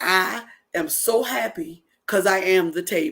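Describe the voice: Putting on a growling character voice, a woman speaks at medium pitch and a moderate pace.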